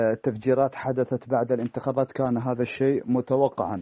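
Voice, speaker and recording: A man speaks in a monotone with flat intonation. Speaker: political analyst. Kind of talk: news interview clip.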